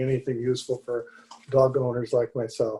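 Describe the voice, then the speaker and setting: Somewhat breathy, a man's voice has a dark, mellow tone. He moves at a fairly quick pace. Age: 70s. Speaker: public commenter at city commission meeting. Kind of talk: public comment.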